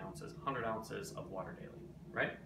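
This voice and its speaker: A man talks fairly quickly while noticeable background noise runs behind him. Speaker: presenter. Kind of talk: casual tips vlog. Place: kitchen. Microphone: phone near.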